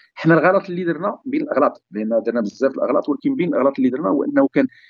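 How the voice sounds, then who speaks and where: Speaking at a very fast pace, a man uses a fairly high pitch with very wide pitch swings and vocal fry. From Morocco, Sefrou. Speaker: digital transformation consultant and entrepreneur. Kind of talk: podcast interview. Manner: halting.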